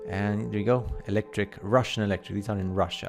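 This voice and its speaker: A man speaks fairly quickly with very wide pitch swings while music plays in the background. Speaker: conspiracy video commentator. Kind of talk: casual commentary over photos. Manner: fast; animated.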